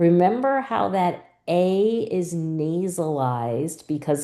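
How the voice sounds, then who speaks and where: With a dark, mellow tone, a woman talks at a very slow pace. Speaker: reading teacher. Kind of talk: tutorial. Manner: clear, deliberate syllable-by-syllable articulation.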